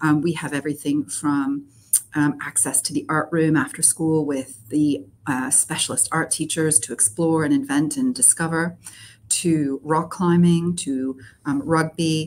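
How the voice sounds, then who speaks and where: A woman's very deep, low voice at a fairly slow pace, with light background noise. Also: ordinary pitch variation. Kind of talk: interview answer. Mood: warm, enthusiastic. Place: office.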